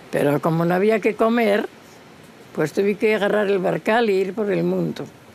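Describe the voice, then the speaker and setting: Noticeable background noise runs behind a woman speaking at a fairly slow pace. Her pitch is medium, with ordinary pitch variation. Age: 90s. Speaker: traditional folk singer. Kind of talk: casual interview.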